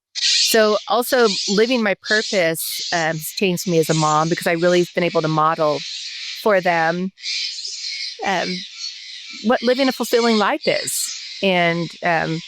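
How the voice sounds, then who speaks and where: A woman's fairly slow, lively-toned speech, broken by long, frequent pauses, over noticeable background noise. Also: medium pitch for a woman. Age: 60s. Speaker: nonprofit co-founder, former school teacher. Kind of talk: interview conversation. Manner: halting, many fillers.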